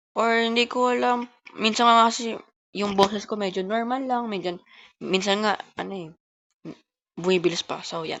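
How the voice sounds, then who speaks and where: A woman talks at a moderate pace with a fairly high pitch. Long, frequent pauses break up her speech. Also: ordinary pitch variation. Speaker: gaming YouTuber. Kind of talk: gameplay commentary.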